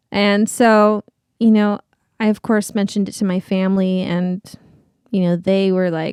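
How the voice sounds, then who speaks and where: Speaking at a moderate pace with long, frequent pauses, a woman with a Californian accent keeps a medium pitch. Her intonation is monotone and flat, and the sound is dry and close with no echo. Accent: Californian American English. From Southern California. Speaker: Broadway performer. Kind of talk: casual chat.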